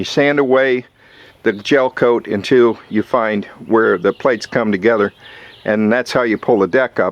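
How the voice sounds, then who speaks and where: Heard in a dry, close sound with no echo, a man speaks at a medium pitch and a fairly slow pace. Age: 60s. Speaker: boat owner vlogger. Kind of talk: casual video log. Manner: halting.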